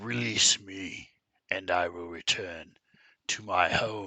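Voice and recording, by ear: Putting on a character voice, a man growls out raspy, guttural words at a very deep, low pitch and a fairly slow pace.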